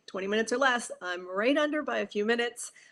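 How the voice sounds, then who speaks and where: An animated tone with ordinary pitch variation comes through a very clean recording with a silent background. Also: woman. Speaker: business coach. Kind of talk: solo livestream talk.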